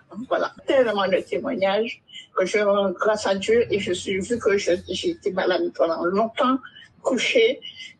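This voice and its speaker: A woman with a fairly high pitch and ordinary pitch variation speaks at a fairly slow pace over noticeable background noise. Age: 60s. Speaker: caller giving testimony. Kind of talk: testimony.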